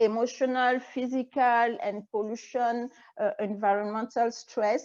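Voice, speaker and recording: A woman with a French accent speaks at a fairly slow pace in a fairly high voice, her intonation fairly even against a quiet background. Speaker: naturopathic physician and energy healer. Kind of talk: interview. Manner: halting.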